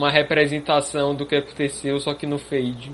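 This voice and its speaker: Over music in the background, a man talks at a moderate pace in a fairly high voice. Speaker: illustrator and podcast co-host. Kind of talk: casual chat.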